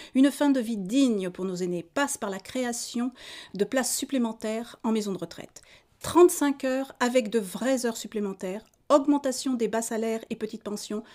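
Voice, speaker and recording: A woman has an ordinary speaking voice, fairly high in pitch with ordinary pitch variation, at a moderate pace. The recording is very clean, with a silent background. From Auvergne, France. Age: 50s. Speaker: political candidate. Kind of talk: campaign statement. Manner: formal.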